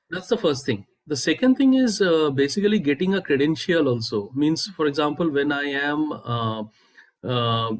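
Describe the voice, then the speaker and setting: This man has an Indian accent. His pitch is fairly high. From India, Bengal. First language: Bengali. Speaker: startup founder. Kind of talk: interview. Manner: halting, many fillers.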